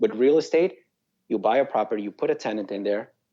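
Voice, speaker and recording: A very fast-talking man with a South American Spanish accent, medium pitch and a dark, mellow tone. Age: young. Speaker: real estate investor. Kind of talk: interview.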